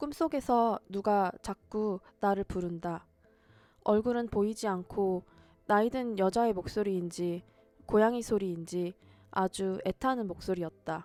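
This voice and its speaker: Music plays in the background as a woman speaks at a fairly slow pace. Her pitch is medium, with ordinary pitch variation. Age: 30s. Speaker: vlogger. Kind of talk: vlog voice-over narration.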